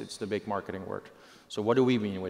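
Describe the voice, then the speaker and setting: Ordinary pitch variation from a male speaker with a fairly low voice. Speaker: presenter. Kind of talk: keynote presentation. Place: stage. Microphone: headset.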